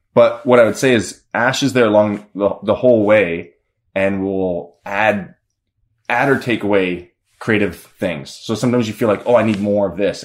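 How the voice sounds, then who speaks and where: A man with an unremarkable speaking voice talks at a moderate pace in a fairly low pitch, with ordinary pitch variation. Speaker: film director. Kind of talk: casual chat.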